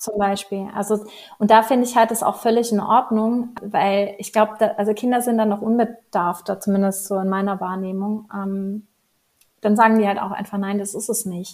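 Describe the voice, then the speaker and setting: Moderate pace and monotone, flat intonation from a woman at medium pitch, on a very clean recording with a silent background. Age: 30s. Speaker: life coach. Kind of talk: casual interview.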